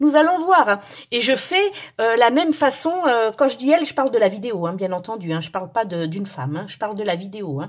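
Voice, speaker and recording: A woman talks at a fairly quick pace. Her pitch swings very widely and her loudness rises and falls sharply. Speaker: resin craft youtuber. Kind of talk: tutorial. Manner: hesitant, many fillers and repeats.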